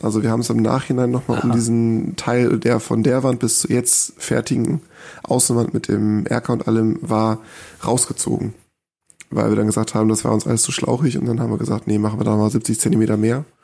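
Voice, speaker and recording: In a dark, mellow tone, a man speaks at a medium pitch and a fairly quick pace with very even loudness. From northern Germany, small village. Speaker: homeowner who built a house. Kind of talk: casual interview. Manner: hesitant, filler-heavy.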